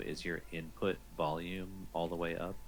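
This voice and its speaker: A man's very deep, low voice with vocal fry. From New Zealand. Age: 30s. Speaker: streamer. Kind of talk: casual chat. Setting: live stream with Discord voice chat.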